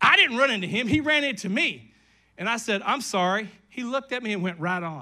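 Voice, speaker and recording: A man's high, raised and projected voice with an American accent, bright and sharp in tone, animated, with lively intonation at a fairly quick pace. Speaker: pastor. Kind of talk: sermon.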